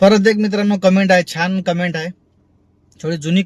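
This man's voice sits high in pitch, and his intonation stays fairly even. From Vidarbha, Maharashtra (Washim district). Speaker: vlogger and ride-hailing driver. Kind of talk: casual vlog, answering viewer comments.

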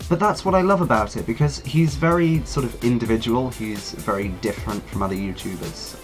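A man with very wide pitch swings and hardly any pauses, music in the background. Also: medium pitch for a man, fairly quick pace. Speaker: YouTuber. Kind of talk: casual talk to camera.

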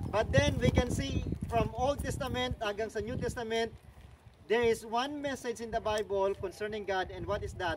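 A man talks in a high pitch. Noticeable background noise sits behind him. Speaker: tour guide. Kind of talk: guided tour talk on Bible story. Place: open country. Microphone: camera far.

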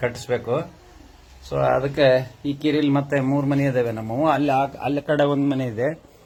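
A man speaks in a fairly high pitch with monotone, flat intonation. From north Karnataka, India (Davanagere district village). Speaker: vlogger. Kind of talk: casual walkthrough vlog.

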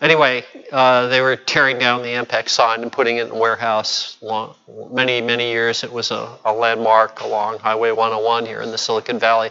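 Speech comes at a fairly quick pace. Its intonation stays monotone and flat. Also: man, medium pitch for a man. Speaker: meetup organizer and emcee. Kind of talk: casual announcements. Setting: meeting room, live-streamed. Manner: jokey. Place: meeting room.

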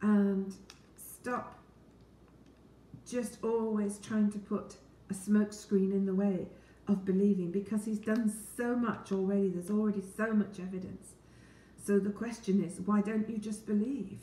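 A woman's somewhat breathy, dark and mellow voice in a flat monotone, at a fairly slow pace with long, frequent pauses and audible room echo. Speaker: Bible teacher. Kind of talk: Bible reading and teaching talk. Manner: warm, friendly. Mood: calm, earnest. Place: kitchen. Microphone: phone near.

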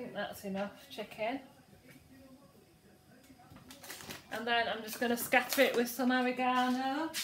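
Amid light background noise and audible room echo, a woman with a high pitch speaks at a fairly slow pace with fairly even intonation. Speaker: home cook vlogger. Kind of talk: casual vlog chat. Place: kitchen. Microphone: phone near.

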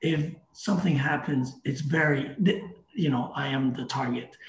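A man speaks at a moderate pace with a fairly high pitch, a somewhat breathy quality and fairly even intonation. Audible room echo and light background noise are present. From Canada. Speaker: crypto startup representative; guest. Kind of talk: casual interview. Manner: halting with many repetitions. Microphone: video call.

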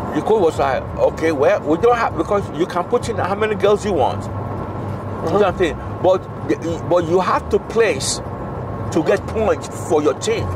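At a moderate pace, the speaker is heard with a dry sound with no echo and noticeable background noise. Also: man. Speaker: storyteller. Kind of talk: casual storytelling. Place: car. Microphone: phone near.

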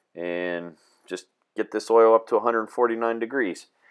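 Here a man talks with fairly even intonation. The background is quiet. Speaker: tractor technician. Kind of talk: tutorial. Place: farm machine. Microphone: camera far.

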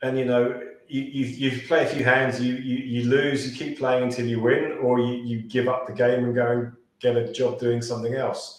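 A British accent at a moderate pace, monotone and flat in intonation, with audible room echo. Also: man, medium pitch for a man. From UK. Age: 40s. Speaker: sales and pitching coach. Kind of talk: podcast interview. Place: home room. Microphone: video call.

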